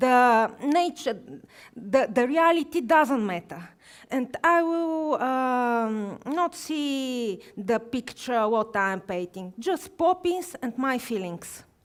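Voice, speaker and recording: A woman with a Bulgarian accent and a high voice, very wide pitch swings and a very slow pace, in a very clean recording with a silent background. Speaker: watercolor artist. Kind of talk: live painting demonstration. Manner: halting.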